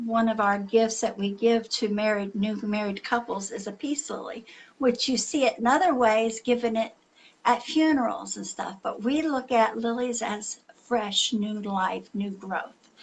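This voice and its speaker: A woman speaks at a fairly slow pace in a somewhat breathy voice, her fairly high pitch showing ordinary pitch variation. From Lebanese heritage. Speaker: psychic reader. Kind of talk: live psychic reading. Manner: halting, self-correcting.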